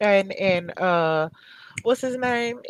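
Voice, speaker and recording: In a dry, close sound with no echo, a woman speaks at a fairly slow pace with very wide pitch swings. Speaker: interviewer. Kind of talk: interview.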